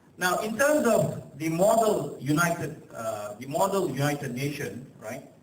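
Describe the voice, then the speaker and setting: The speaker's intonation is lively. Noticeable background noise and audible room echo fill the recording. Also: man. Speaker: guest speaker at student conference. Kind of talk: ceremonial speech. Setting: conference hall with audience, PA mic. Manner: halting, many fillers.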